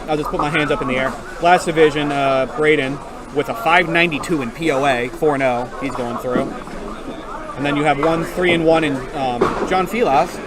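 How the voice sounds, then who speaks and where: Crowd noise and audible room echo surround a man speaking at a fairly quick pace. His pitch is fairly high, with ordinary variation. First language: not English. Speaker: duckpin bowling livestream commentator. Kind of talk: live commentary.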